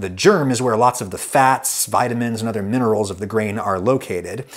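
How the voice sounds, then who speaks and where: A man with a plain, everyday voice talks at a fairly quick pace and medium pitch with an American accent. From United States. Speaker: food video creator. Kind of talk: scripted narration.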